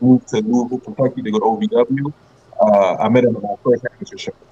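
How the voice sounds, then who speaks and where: At a very fast pace, a man with a slight Trinidadian accent and a medium pitch speaks with lively intonation. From Brooklyn, New York, Trinidadian parents. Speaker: former pro wrestler. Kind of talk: interview.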